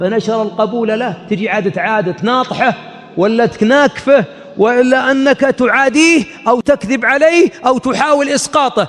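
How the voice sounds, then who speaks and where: Over noticeable background noise, a man speaks fairly slowly at an extremely high pitch with ordinary pitch variation. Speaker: Islamic preacher / sheikh. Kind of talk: religious sermon lecture.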